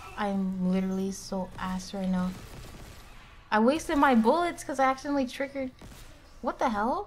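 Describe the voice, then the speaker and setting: A woman's animated, fairly high voice with very wide pitch swings, a fairly quick pace, long, frequent pauses and light background noise. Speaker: vtuber streamer. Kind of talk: live gameplay streaming chat. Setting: home streaming setup with sensitive mic. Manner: stutters at times; animated, giggly. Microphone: studio mic.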